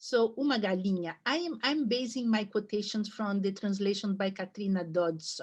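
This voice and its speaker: At a moderate pace, a woman with a somewhat breathy voice and a medium pitch is talking. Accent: Brazilian. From Brazil, São Paulo. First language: Portuguese. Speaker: literature professor. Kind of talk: lecture. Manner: halting, with fillers and restarts.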